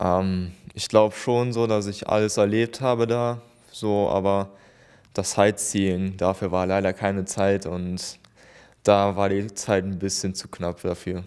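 Against a quiet background, a man talks at a fairly slow pace in a fairly low pitch, his intonation monotone and flat. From Germany, Remscheid; Germany. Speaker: paralympic swimmer; interviewee. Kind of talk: interview. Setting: town hall. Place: office. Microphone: handheld.

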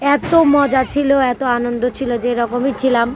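A woman's high voice, held to fairly even intonation, competes with noticeable background noise. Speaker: vlogger. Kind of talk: casual vlog monologue. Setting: outdoors. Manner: hesitant, filler-heavy.

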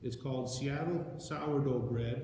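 A man's medium-pitched voice with a dark, mellow tone, ordinary pitch variation and strong room echo

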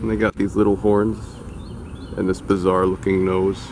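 A man with a fairly low pitch amid noticeable background noise. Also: dry sound with no echo. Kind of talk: casual commentary. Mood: amused, affectionate. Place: open country. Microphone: phone near.

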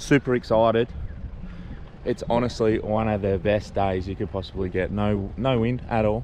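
Light background noise sits behind a voice at a moderate pace with ordinary pitch variation. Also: man, dry sound with no echo. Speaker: fishing vlogger. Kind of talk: casual vlog chat. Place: street. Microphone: phone near.

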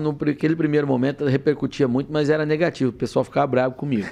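A man speaks with a dark, mellow tone. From Brazil, western São Paulo state. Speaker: politician, former journalist and TV commentator; politician, former journalist, TV commentator. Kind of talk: podcast interview. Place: studio. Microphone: studio mic.

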